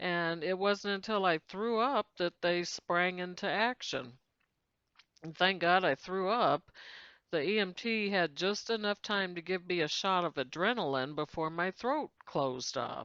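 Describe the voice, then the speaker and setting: With an American accent and an ordinary speaking voice, a woman at medium pitch talks at a fairly slow pace with lively intonation, in a dry, close sound with no echo and a quiet background. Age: 60s. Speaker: YouTuber, law of attraction speaker. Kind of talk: personal testimony monologue.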